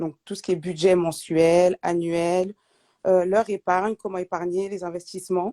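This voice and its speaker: The sound is dry and close with no echo as a woman speaks at a moderate pace. Her medium-pitched voice has a dark, mellow tone. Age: 30s. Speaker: budget coach. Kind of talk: live video chat interview.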